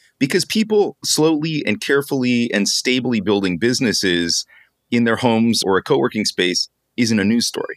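Recorded with a dry, close sound and no echo, a man speaks at a moderate pace with very even loudness. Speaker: podcast host and startup founder. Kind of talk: casual conversational interview.

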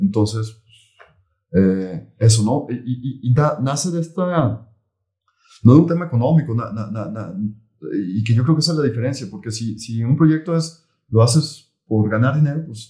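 Speaking with a Mexican accent, a man uses a medium pitch and a dark, mellow, somewhat breathy tone, talking at a fairly slow pace with lively intonation and long, frequent pauses. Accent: Mexican Spanish (Jalisco). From Mexico, Jalisco (Tala, near Guadalajara). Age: 40s. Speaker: entrepreneur, boxing gym founder. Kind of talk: interview. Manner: halting, many fillers and repetitions.

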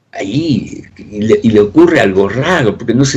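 A man talks rather slowly in a somewhat breathy voice. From Argentina (Buenos Aires immigrant neighbourhood), born in Soviet Union. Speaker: writer and economist. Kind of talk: radio interview.

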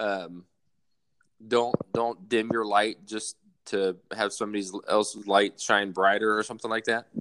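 A man's fairly low, bright and sharp voice with a Southern US accent, monotone and flat, at a fairly slow pace with long, frequent pauses. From US South, South Alabama. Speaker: army soldier. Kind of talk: casual chat.

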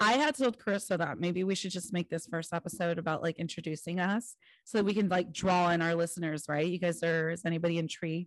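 Over a quiet background, a woman with fairly low pitch and ordinary pitch variation talks at a very fast pace with hardly any pauses. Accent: American. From California. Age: 30s. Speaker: podcast co-host. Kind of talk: casual chat.

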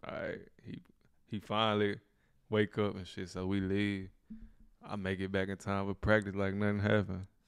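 Long, frequent pauses break up flat, monotone speech delivered with an American accent. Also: man, fairly low pitch for a man, moderate pace. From Louisiana. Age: 20s. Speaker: rapper. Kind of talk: casual chat.

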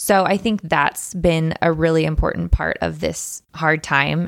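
This woman has an American accent and a very deep, low pitch. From Texas. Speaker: food social media creator and business owner. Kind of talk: casual interview. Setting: studio.

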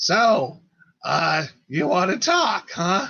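In a put-on character voice, a man talks at a high pitch. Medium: actual play.

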